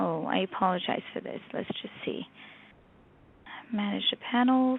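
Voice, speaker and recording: With a French accent, a woman talks at a moderate pace. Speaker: professor and researcher. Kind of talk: webinar presentation.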